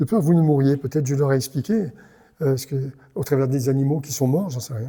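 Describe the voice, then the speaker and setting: A man's voice with a dark, mellow tone. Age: 70s. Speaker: pastor. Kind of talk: sermon. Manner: animated.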